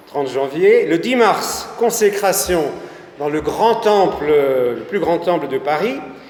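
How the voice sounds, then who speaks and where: A man's fairly slow speech with very wide pitch swings, noticeable background noise and audible room echo. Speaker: local history speaker. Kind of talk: public talk. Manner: halting.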